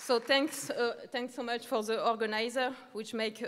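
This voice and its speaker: A woman with a French accent and fairly even intonation, set against a quiet background. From France. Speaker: left-wing party representative. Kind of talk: prepared speech. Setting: stage with audience. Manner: halting. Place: hall. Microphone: podium.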